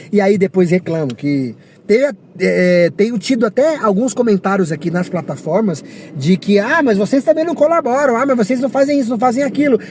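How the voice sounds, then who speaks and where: Against noticeable background noise, a man talks fairly quickly in an animated tone, his high pitch making very wide swings. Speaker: rideshare driver vlogger. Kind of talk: casual rant monologue.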